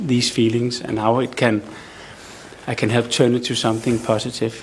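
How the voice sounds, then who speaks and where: A man speaks in a Danish accent at a moderate pace. His intonation is monotone and flat, with noticeable background noise. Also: medium pitch for a man. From Denmark. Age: 40s. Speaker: audience member, recovering addict. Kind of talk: testimony and question.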